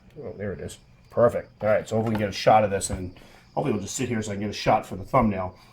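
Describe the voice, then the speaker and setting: A man talks at a very fast pace, his pitch fairly low with ordinary variation. His loudness swings widely. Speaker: tarantula keeper and video creator. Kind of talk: tutorial. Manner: casual.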